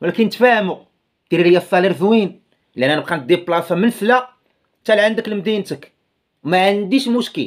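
The voice has a Moroccan accent and ordinary pitch variation at a fairly quick pace. It has long, frequent pauses over a quiet background. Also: man, high pitch for a man. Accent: Moroccan Darija. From Morocco. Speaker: YouTuber commentator. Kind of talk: casual video commentary. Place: home room. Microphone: phone near.

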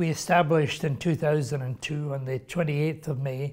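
A man speaks in a somewhat breathy voice with ordinary pitch variation. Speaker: interview guest. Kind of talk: interview answer. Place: meeting room. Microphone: lapel.

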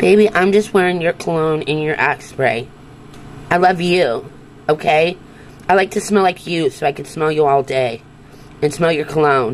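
A woman's very deep, low voice at a moderate pace, over light background noise. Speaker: social media creator. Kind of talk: casual vlog chat, acted skit. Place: home room. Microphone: phone near.

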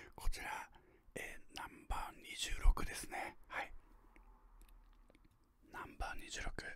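The speaker is whispering. Long, frequent pauses break up the speech. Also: man, moderate pace, big swings in loudness. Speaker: ASMR unboxing host. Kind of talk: ASMR whispered unboxing. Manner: whispered. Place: home room. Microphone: studio mic.

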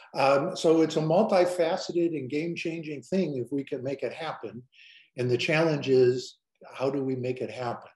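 Against a quiet background with audible room echo, a man with an American accent speaks at a fairly high pitch, somewhat breathy, with ordinary pitch variation. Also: moderate pace. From Illinois. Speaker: advocacy group director. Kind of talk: webinar presentation. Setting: video call. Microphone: webcam.

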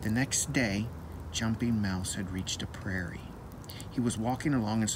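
Ordinary pitch variation across plain reading aloud.

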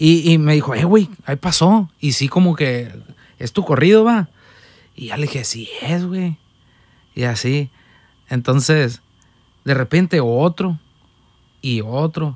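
A man talks very slowly, with long, frequent pauses, in a fairly high voice and lively intonation. The background is quiet and the sound is dry, with no echo. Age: 20s. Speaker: musician, accordionist; podcast guest. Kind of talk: casual chat. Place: studio. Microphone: studio mic.

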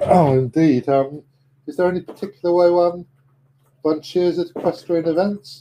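A man's high-pitched voice with an English accent, dark and mellow in tone, at a moderate pace with fairly even intonation. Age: 60s. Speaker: chess commentator. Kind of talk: live commentary.

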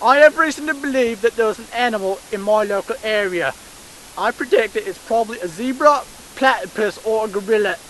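A man with high pitch speaks at a fairly quick pace with big swings in loudness, in a dry sound with no echo over light background noise. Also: ordinary pitch variation. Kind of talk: comedic mock documentary narration. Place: forest.

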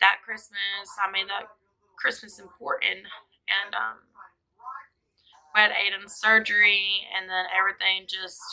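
Over a quiet background, a woman talks at a moderate pace with long, frequent pauses. Her intonation is monotone and flat, her tone bright and sharp. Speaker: family vlogger. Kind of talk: casual vlog chat. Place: home room. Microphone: camera far.

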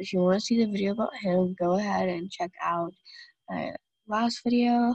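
Somewhat breathy and fairly high-pitched, a woman speaks with ordinary pitch variation in a dry, close sound with no echo. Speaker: gaming youtuber. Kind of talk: gameplay commentary. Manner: casual, halting with fillers.

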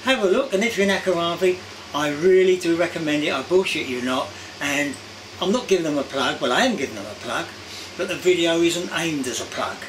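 A man speaks at a very fast pace in a high pitch, with noticeable background noise. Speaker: vlogger. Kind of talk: casual vlog chat. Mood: warm, enthusiastic. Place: home room.

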